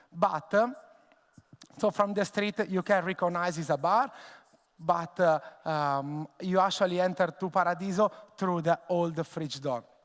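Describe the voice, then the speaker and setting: Speaking with an Italian accent, a high-pitched man talks at a fairly slow pace with ordinary pitch variation and long, frequent pauses. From Italy, Tuscany. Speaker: bartender and bar owner. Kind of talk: conference presentation. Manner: halting, many fillers.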